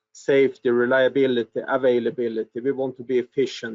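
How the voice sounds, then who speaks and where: A man with a Swedish accent speaks at a fairly high pitch and a moderate pace. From Sweden. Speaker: product and innovation manager presenting. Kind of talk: webinar presentation. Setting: online webinar.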